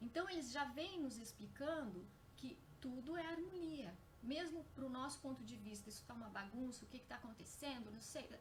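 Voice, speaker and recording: A soft-spoken woman with a high voice talks at a moderate pace, her intonation lively. Room echo is audible, and there is noticeable background noise. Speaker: spiritist lecturer. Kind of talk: lecture. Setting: live stream on Facebook. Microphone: too quiet at first, then boosted.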